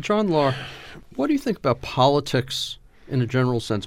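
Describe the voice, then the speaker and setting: A man's plain, everyday voice at a moderate pace, with lively intonation. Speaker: podcast host. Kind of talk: interview.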